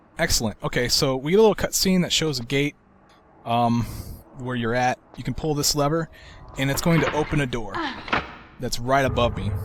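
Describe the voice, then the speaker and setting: A man speaks with ordinary pitch variation and long, frequent pauses, with noticeable background noise behind him. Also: medium pitch for a man, fairly quick pace. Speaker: gaming video creator. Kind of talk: game walkthrough commentary. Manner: calm, sleep-inducing.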